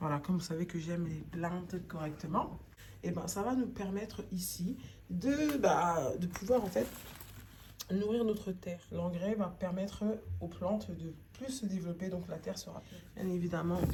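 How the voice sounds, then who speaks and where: A woman with a fairly low pitch is heard over noticeable background noise, with audible room echo. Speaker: home gardening video maker. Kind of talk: tutorial. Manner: casual, conversational.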